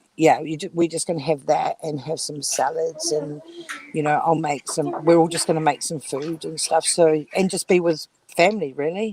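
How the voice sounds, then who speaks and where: A woman with a New Zealand accent speaks at a moderate pace with a very deep, low pitch and fairly even intonation. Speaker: livestream guest. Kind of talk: casual chat. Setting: livestream call, audio only while out.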